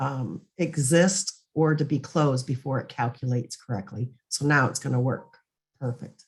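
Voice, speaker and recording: This woman's pitch is very deep and low. There is some breathiness in her voice. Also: ordinary pitch variation, moderate pace. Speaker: software trainer. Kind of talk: webinar presentation. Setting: online meeting.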